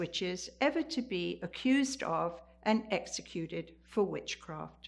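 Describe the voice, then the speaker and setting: Using very wide pitch swings and vocal fry, a woman with a fairly high pitch talks at a fairly slow pace. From eastern England, the Fens. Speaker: storyteller. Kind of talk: storytelling.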